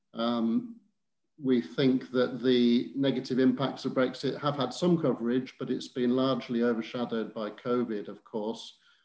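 The man's medium-pitched voice carries fairly even intonation. Audible room echo comes through over a quiet background. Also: moderate pace. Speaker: campaigner. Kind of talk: panel discussion. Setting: video call. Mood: earnest, measured. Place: home room. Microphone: video call.

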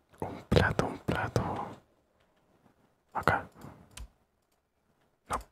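The voice belongs to a man. He speaks in a whisper. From Chile. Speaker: ASMR gaming creator. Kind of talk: ASMR gameplay commentary. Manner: whispered, soft-spoken. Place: home room.

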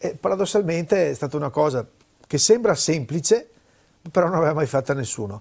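A man at a fairly quick pace with lively intonation, against a quiet background. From Veneto, Italy. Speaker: cultural event organizer; guest. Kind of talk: interview. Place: studio. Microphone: lapel.

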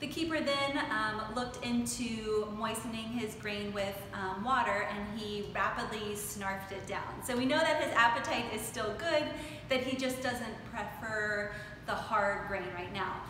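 A woman talks at a fairly slow pace, with noticeable background noise and audible room echo around her. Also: ordinary pitch variation. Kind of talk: explanatory talk to camera. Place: workshop.

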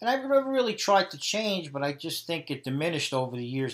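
A man with a New York accent talks at a fairly quick pace. The recording is very clean, with a silent background. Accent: mild New York. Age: 50s. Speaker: electronics engineer. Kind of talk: interview.

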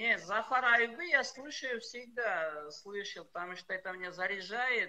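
Using a raised, projected voice, a man speaks at a very slow pace in an extremely high pitch with lively intonation. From Tajikistan, Panjakent. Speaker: karate fighter and MMA fighter. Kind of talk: interview. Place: home room. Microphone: video call.

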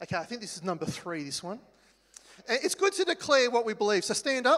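A man with an Australian accent, bright, sharp tone and moderate pace. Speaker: church worship leader. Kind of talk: church announcements. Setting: church. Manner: halting. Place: hall.

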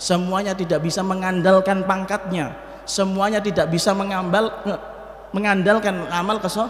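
Audible room echo surrounds a man speaking at a fairly quick pace in a high pitch. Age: 40s. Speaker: Islamic preacher and Quran teacher; Islamic preacher, Quran teacher. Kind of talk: sermon. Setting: mosque. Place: church. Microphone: podium.

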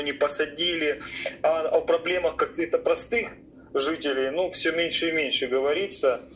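A man speaking at a fairly slow pace, with faint music in the background. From Ukraine, Melitopol; Ukraine. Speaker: caller; talk show guest. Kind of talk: call-in conversation. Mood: calm, mildly skeptical. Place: home room. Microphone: studio mic.

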